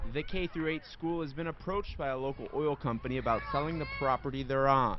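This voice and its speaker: Talking at a very fast pace, a man with a fairly high pitch keeps fairly even intonation over noticeable background noise. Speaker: TV news reporter. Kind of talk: TV news reporter package and stand-up.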